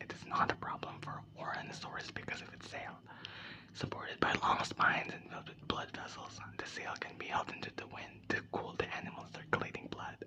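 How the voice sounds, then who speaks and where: Whispering over noticeable background noise. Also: fairly quick pace. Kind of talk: ASMR book reading. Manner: whispered.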